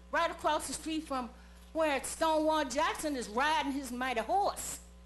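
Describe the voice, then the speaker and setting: A woman speaks at a fairly slow pace, high in pitch and animated in tone. Room echo is audible. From Charlottesville, Virginia (US South). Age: 70s. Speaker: public commenter at council meeting. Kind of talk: public comment speech. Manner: animated, emphatic.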